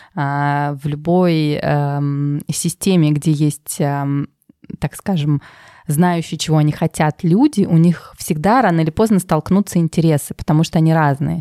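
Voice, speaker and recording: A woman talks at a fairly slow pace with a very deep, low pitch, a dark, mellow tone and fairly even intonation. Her loudness stays very even, and the sound is dry and close with no echo. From Russia, Tver. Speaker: finance manager at a luxury brand. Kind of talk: interview. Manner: hesitant, many fillers.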